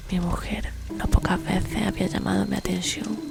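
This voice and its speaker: A woman's whisper at a moderate pace, with noticeable background noise. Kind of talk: horror story reading. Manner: whispered.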